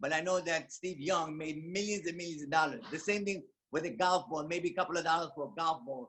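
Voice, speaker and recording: Using fairly even intonation, a man with a high pitch speaks at a fairly quick pace. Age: 70s. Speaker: network marketing business owner. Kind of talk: testimony. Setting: video call.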